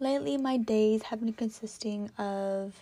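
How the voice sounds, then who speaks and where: Very slow and somewhat breathy, a woman with an American accent speaks in a fairly high voice with a dark, mellow tone and ordinary pitch variation, on a very clean recording with a silent background. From California. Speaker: podcast host. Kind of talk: casual solo monologue. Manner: rambling, filler-heavy.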